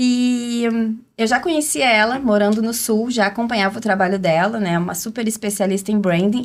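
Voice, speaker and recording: A woman speaks at a fairly quick pace in a plain, everyday voice, fairly high-pitched, with ordinary pitch variation, hardly any pauses and very even loudness, on a very clean recording with a silent background. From southern Brazil, Rio Grande do Sul. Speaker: branding strategist. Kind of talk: podcast interview.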